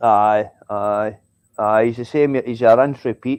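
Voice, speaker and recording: In a Scottish accent, a medium-pitched man speaks with monotone, flat intonation, the sound dry and close with no echo against a quiet background. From Scotland. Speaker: live stream viewer joining the chat. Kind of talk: casual chat.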